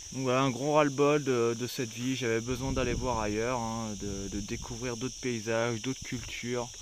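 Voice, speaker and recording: A man's flat, monotone voice at a moderate pace, with audible room echo. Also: medium pitch for a man, hardly any pauses. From France, Savoie (Maurienne valley). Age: 30s. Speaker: travel vlogger. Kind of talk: casual vlog monologue. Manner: halting, slight stutter.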